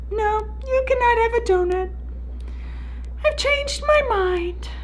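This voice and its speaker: Put-on character voice, fairly slow in pace, against clear background noise. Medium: read story. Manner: deadpan.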